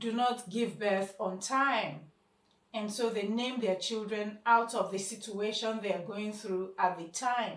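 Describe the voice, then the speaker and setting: Very slow in pace, a woman speaks at a fairly high pitch with ordinary pitch variation. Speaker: spoken word poet and speaker. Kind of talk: short motivational talk.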